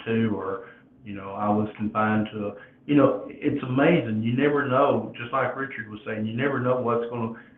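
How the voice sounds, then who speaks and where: Noticeable background noise sits under a man speaking at a medium pitch and a moderate pace. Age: 60s. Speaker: podcast host. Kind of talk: casual chat. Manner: halting.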